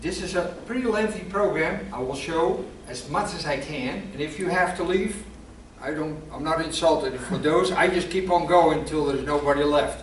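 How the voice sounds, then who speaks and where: Someone speaks with a Dutch accent in a room with audible echo and noticeable background noise. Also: man. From Netherlands, Amsterdam. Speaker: guest speaker on WWII history. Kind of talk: presentation to a club audience.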